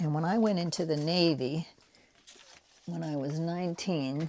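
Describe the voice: The voice carries an American accent and a slightly mellow tone. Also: woman, low pitch for a woman, ordinary pitch variation, fairly slow pace.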